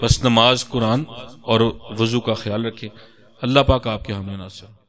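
Fairly even intonation at a fairly slow pace, over light background noise. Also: man. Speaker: religious teacher. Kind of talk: religious talk giving instructions. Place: home room. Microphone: studio mic.

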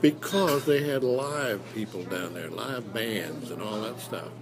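Noticeable background noise runs under the speech. The speaker has an Ozarks accent. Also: man. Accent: Southern Midland American (Missouri Ozarks). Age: 80s+. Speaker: retired radio broadcaster. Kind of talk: interview answer. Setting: noisy restaurant.

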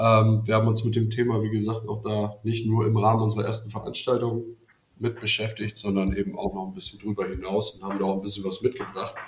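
Talking at a very fast pace, a man with a fairly low voice keeps a monotone, flat intonation. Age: 30s. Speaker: student and startup founder. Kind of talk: casual chat. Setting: video call.

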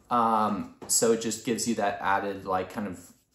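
Audible room echo hangs around the voice. The man keeps to a moderate pace. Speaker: product reviewer. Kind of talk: casual product review. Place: home room. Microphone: phone near.

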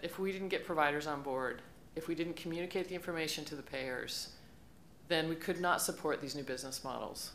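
A woman talks at a fairly quick pace in a plain, everyday voice. Her pitch varies in an ordinary way, with light background noise. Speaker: startup founder and CEO; panelist. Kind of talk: conference panel discussion. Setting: stage with audience. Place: hall. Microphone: podium.

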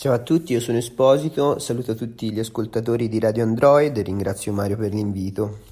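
A man with a dark, mellow tone talks at a fairly quick pace with hardly any pauses and ordinary pitch variation. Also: medium pitch for a man. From Tuscany, Empoli. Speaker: singer-songwriter. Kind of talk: interview answers to read-out questions. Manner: halting, with many fillers.

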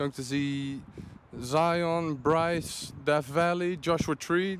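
Over light background noise, a man speaks at a very slow pace with fairly even intonation, the sound dry with no echo. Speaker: travel vlogger. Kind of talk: casual vlog chat. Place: street.

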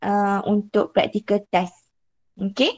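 Dark, mellow tone from a woman at a fairly slow pace. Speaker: lecturer teaching online class. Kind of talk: lecture. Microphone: video call.

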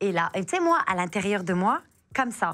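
Over a quiet background, a woman talks at a moderate pace with very wide pitch swings. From France, Pakistani family, arrived as baby. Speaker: author, forced-marriage survivor; interview guest. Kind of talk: interview testimony. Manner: hesitant, many fillers. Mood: emotional personal story. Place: studio. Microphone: lapel.

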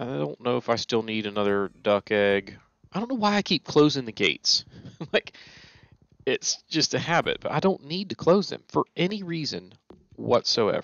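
A man speaking at a moderate pace, dry sound with no echo, quiet background. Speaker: game streamer. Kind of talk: casual gameplay commentary. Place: home room. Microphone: headset.

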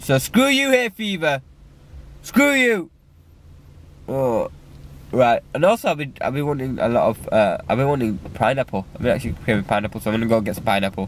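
Speaking with a British accent at a fairly quick pace, a man takes long, frequent pauses. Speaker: vlogger. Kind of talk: casual vlog.

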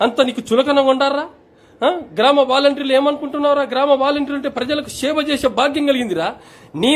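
The voice is loud, with fairly even intonation. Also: man. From Andhra Pradesh. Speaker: village volunteer. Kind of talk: angry warning rant. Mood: angry, warning tone. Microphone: phone near.

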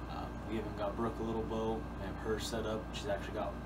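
Loud background noise runs under a man's speech. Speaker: outdoors channel host. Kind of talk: casual vlog chat. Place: home room. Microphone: camera far.

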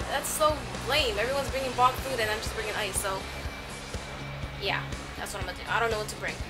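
Clear music plays behind a woman's speech. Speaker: vlogger. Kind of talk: casual vlog chat. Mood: relaxed, playful. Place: home room. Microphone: phone near.

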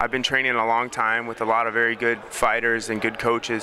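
A man talks at a fairly quick pace. The sound is dry with no echo, over noticeable background noise. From United States. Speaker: professional MMA fighter. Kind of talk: interview. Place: hall. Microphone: handheld.

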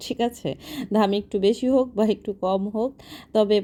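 Her voice has a dark, mellow tone at a medium pitch for a woman, with ordinary variation in pitch. The recording is very clean, the background silent. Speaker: vlogger. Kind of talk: travel vlog narration. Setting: in a car at night, then outdoor market. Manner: conversational.

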